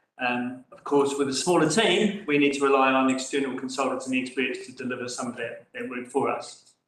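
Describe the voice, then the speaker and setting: Audible room echo surrounds a man speaking at a medium pitch, with fairly even intonation and a fairly quick pace. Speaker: council staff member. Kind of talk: council meeting briefing. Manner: loud.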